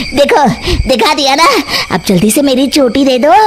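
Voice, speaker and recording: A woman's cartoonish character voice, high in pitch and moderate in pace, over clear background noise. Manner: cackling.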